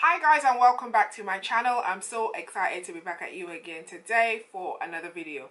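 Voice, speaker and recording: A woman puts on a raspy character voice at a fairly high pitch. She talks at a fairly quick pace, her loudness swinging widely. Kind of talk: vlogger greeting, upbeat.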